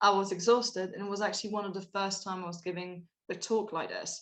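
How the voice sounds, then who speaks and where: At a very fast pace, a woman speaks at medium pitch. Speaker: researcher and guest speaker. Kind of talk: talk to online audience.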